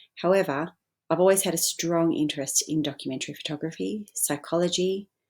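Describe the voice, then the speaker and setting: Delivered at a fairly quick pace with ordinary pitch variation, the speech comes in an Australian accent on a very clean recording with a silent background. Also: woman. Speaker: photographer and arts organisation founder. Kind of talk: pre-recorded presentation. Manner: formal.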